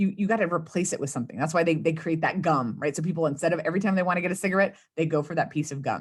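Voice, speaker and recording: Speaking very fast with hardly any pauses, a woman with an American accent has a fairly low, somewhat breathy voice and ordinary pitch variation over a quiet background. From US South, South Texas (Rio Grande Valley). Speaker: communications consultant and speechwriter. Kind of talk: interview.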